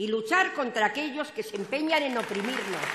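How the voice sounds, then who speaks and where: A woman's voice moves through very wide pitch swings against light background noise. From Spain. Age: 80s+. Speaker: party activist, opening speaker at political rally; speaker. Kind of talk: political rally speech. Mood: emotional, earnest. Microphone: podium.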